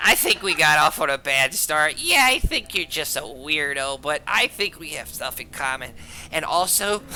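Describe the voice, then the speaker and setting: A put-on character voice at a middle pitch and moderate pace, with clear background noise. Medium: actual play. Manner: halting, blurting.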